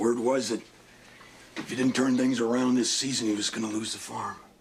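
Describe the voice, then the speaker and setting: A man puts on a raspy character voice at a medium pitch. He talks at a fairly quick pace in a monotone, flat delivery. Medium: short film. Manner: plainspoken.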